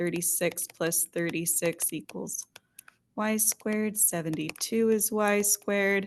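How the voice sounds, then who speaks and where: In a dry, close recording with no echo, a woman with an ordinary speaking voice talks at a medium pitch, at a fairly slow pace, with fairly even intonation. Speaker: math teacher. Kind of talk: tutorial.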